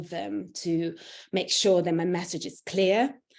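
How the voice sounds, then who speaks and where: Her voice has a dark, mellow tone and a medium pitch, with an Italian accent. The woman speaks at a fairly slow pace with fairly even intonation. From Italy. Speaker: internal communications executive. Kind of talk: interview. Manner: halting, many fillers.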